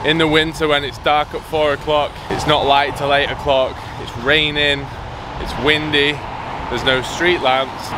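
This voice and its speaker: Music plays in the background while a man speaks in a dry sound with no echo. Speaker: fitness vlogger. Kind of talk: casual vlog chat. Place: waterside. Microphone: phone near.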